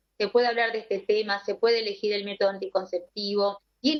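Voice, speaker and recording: A woman at a moderate pace, in an ordinary speaking voice. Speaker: gynecologist. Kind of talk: interview on live radio stream.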